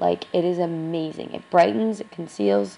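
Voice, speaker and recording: A woman's fairly low voice with very wide pitch swings. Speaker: beauty vlogger. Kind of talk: tutorial. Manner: casual, hesitant with fillers.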